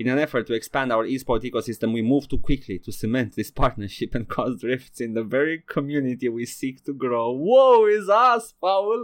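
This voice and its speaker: This man speaks at a moderate pace with hardly any pauses. His medium-pitched voice carries lively intonation. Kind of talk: mock pitchman patter, comedic skit. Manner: animated, theatrical, old-time huckster tone.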